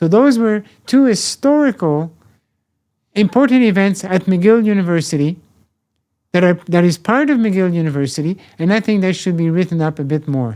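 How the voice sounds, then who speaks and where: A man with a French accent talks in a high, dark and mellow voice with lively intonation. His pace is moderate, broken by long, frequent pauses. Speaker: professor emeritus. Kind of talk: interview. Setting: podcast interview. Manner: halting.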